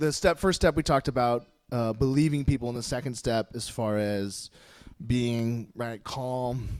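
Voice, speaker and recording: A man speaks at a medium pitch with ordinary pitch variation, recorded very cleanly against a silent background. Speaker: nursing instructor and church speaker. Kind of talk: church talk on mental health. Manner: fast; halting, many restarts.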